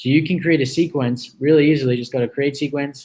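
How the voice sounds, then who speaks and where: A man has a normal speaking voice, fairly high in pitch. He talks at a moderate pace. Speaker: online business coach. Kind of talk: live tutorial. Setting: live video stream.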